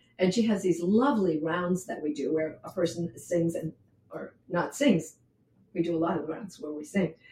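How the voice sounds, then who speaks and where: Using an American accent, a woman speaks at a moderate pace with a fairly low pitch and a dark, mellow, somewhat breathy tone, her loudness swinging widely. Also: ordinary pitch variation. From New Hampshire, US. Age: 70s. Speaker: poet and retired English teacher. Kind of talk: casual interview with poetry reading.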